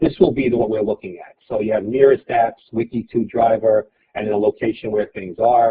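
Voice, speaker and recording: Somewhat breathy, a man with an American accent speaks fairly quickly at medium pitch and fairly even intonation. His loudness swings widely. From New York City, Brooklyn. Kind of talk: webinar presentation.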